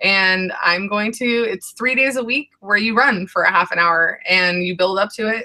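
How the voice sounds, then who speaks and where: A woman with an ordinary speaking voice talks at a moderate pace and medium pitch, using ordinary pitch variation and hardly any pauses. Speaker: weight loss vlogger. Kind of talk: casual chat.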